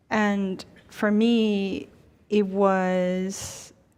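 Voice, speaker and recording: In a Chinese accent, a woman speaks at a medium pitch with fairly even intonation. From China, then Ohio from age eleven. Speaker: university dean. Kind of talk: panel conversation.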